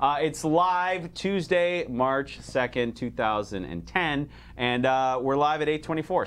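His intonation lively, a man speaks with a fairly high pitch. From Chicago, then Canada and Boston. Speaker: talk show host. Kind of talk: casual comedic chat. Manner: animated.

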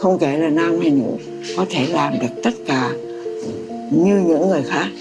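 Over clear music in the background, a woman speaks at a fairly slow pace. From Vietnam. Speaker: memoir author. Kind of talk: interview answer. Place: home room.

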